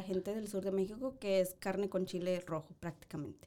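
Her dark, mellow tone carries as this woman talks at a moderate pace. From northern Mexico. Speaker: true crime podcast co-host. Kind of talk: casual chat.

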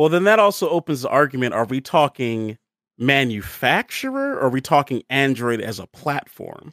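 A man with an unremarkable speaking voice and an American accent talks at a fairly high pitch and moderate pace. His intonation is lively, and the sound is dry and close with no echo. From Baltimore, Maryland, US. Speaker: Twitch streamer. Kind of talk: casual chat. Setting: video call.

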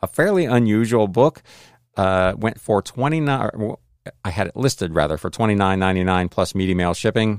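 A man's plain, everyday voice, fairly low in pitch, at a fairly quick pace with ordinary pitch variation, with a dry, close sound and no echo, on a very clean recording with a silent background. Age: 50s. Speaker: reseller and podcaster. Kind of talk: solo podcast monologue. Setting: home.

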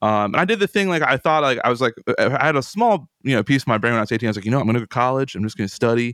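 A man with an American accent speaks at a very fast pace and medium pitch, with lively intonation and hardly any pauses. The recording is very clean with a silent background, and the sound is dry and close with no echo. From US, central Pennsylvania. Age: 20s. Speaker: guitarist and composer. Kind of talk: casual chat.

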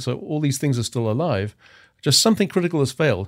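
Very fast speech with lively intonation comes in an English accent over a silent background on a very clean recording. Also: man. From England. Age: 50s. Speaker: cryonics expert. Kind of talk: casual interview.

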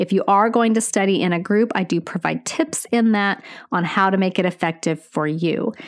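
A woman talks in a normal speaking voice at medium pitch. Her pace is moderate and her pitch variation ordinary. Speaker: nurse educator podcaster. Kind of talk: educational podcast monologue. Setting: podcast, solo. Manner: warm, upbeat.

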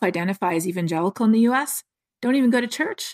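With lively intonation and a fairly quick pace, a woman speaks at a fairly high pitch in a somewhat breathy voice, the sound dry and close with no echo and the recording very clean against a silent background. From Canada. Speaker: climate scientist. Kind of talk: interview.

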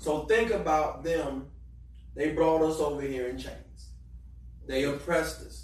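With an American accent, a man speaks at a very slow pace amid audible room echo. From Florida, Eatonville. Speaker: youth club director, military veteran. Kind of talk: panel discussion.

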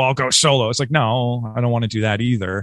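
A man with an American accent uses a normal speaking voice at medium pitch and a fairly quick pace, in a dry, close sound with no echo and a very clean recording, silent background. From Western New York, Rochester. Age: 40s. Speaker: podcast host, musician. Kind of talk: casual interview.

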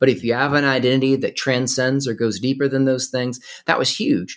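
A man with an American accent talks at a fairly quick pace in an unremarkable speaking voice of medium pitch. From US South, North Carolina. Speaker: nonprofit activist, former history teacher. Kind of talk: interview.

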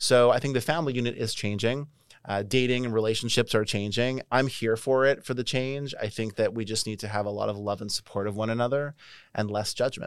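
In a normal speaking voice, a man talks at medium pitch and a fairly quick pace with fairly even intonation. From Canada. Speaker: dating company founder. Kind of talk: interview conversation.

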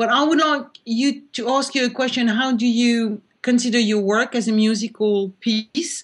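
A woman's fairly high voice with a French accent, fairly even intonation, moderate pace and hardly any pauses. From France. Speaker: art critic and curator. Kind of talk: panel discussion.

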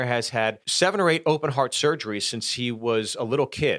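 A man with an American accent speaks at a moderate pace in an unremarkable speaking voice, his pitch varying in an ordinary way. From Pittsburgh, US. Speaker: stand-up comedian. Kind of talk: casual chat with anecdotes.

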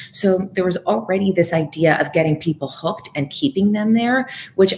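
With lively intonation, a woman speaks fairly quickly in a somewhat breathy voice. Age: 40s. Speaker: media trainer and author, former TV journalist. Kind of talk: interview. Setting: remote connection from California.

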